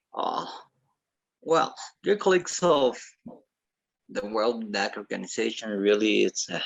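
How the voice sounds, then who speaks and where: A man with a Latin American accent. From Ecuador. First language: Spanish. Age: 50s. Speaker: mechanical engineer and association ambassador. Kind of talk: formal speech at online meeting.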